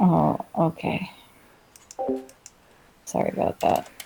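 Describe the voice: A raspy, put-on character voice comes through. It talks at a fairly slow pace.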